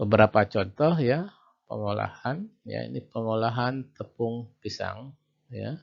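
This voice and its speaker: A man speaks against a quiet background. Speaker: university lecturer. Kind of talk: lecture. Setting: video call. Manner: loud. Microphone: too quiet.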